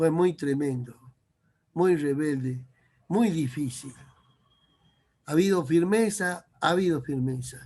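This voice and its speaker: Speaking at a very slow pace with long, frequent pauses, a man uses a fairly high pitch and a dark, mellow tone that is somewhat breathy. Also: ordinary pitch variation. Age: 60s. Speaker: preacher. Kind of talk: sermon.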